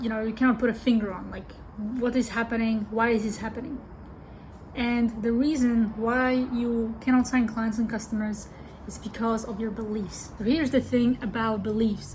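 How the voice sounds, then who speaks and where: A woman with a non-native accent speaks at a moderate pace and a fairly high pitch. Her intonation is monotone and flat. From Europe. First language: not English. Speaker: business coach. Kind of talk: online video monologue. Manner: casual, with fillers.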